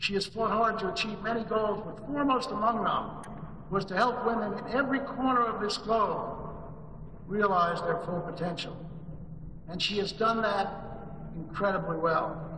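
A man speaks in a raised, projected voice at a moderate pace, with ordinary pitch variation and long, frequent pauses. Light background noise and audible room echo are present. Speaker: conference host introducing keynote. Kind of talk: formal speech introduction. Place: hall.

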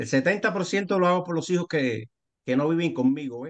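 A man talks at a very fast pace with a fairly high pitch and ordinary pitch variation. The sound is dry and close, with no echo. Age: 60s. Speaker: architect turned business participant. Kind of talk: casual group discussion. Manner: halting.

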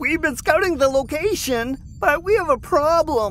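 Over clear background noise, a man uses a put-on character voice at an extremely high pitch. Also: moderate pace.

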